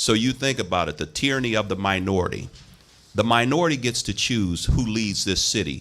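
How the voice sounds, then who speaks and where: Intonation rises and falls in a lively way. The man, in a normal speaking voice, sits at a medium pitch. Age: 60s. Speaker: local politician. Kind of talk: radio interview.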